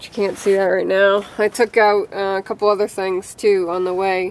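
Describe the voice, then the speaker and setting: In a dry recording with no echo, a woman talks in a flat monotone. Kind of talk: casual repair narration. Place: street. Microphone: phone near.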